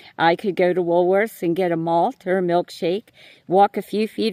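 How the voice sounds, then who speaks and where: Recorded very cleanly with a silent background and dry, close sound with no echo, a woman with an American accent speaks at a moderate pace and medium pitch with fairly even intonation. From New York City. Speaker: YouTuber. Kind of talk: voice-over monologue. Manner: hesitant.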